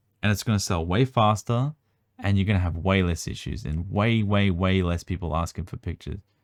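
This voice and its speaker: With an Australian accent, a man speaks at a fairly low pitch, the sound dry and close with no echo in a very clean recording over a silent background. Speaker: trading card collector and video creator. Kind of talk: casual card review tutorial. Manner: casual, filler-heavy.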